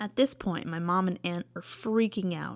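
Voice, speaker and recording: A woman with an unremarkable speaking voice, fairly low pitch, fairly slow pace and fairly even intonation, on a very clean recording with a silent background. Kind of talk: storytelling to camera. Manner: casual.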